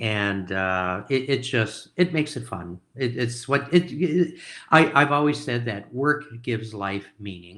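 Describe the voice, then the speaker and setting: A man with an American accent, medium pitch, a bright, sharp tone and lively intonation, at a fairly slow pace with hardly any pauses, in a very clean recording with a silent background. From Minnesota, US Midwest. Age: 70s. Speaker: investor. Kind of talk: interview. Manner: halting.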